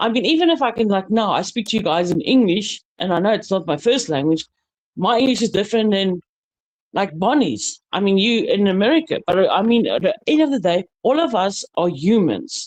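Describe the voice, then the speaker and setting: A woman speaks at a fairly quick pace in a fairly high voice. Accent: South African. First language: Afrikaans. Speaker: panel guest. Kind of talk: casual panel chat. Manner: halting.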